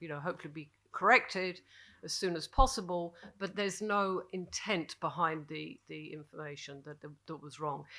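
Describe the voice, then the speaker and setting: In a British accent, a woman talks at a fairly quick pace with fairly low pitch and ordinary pitch variation. Her tone is bright and sharp, and the recording is very clean with a silent background. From Britain. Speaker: journalist, panelist. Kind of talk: panel discussion. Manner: halting, many fillers.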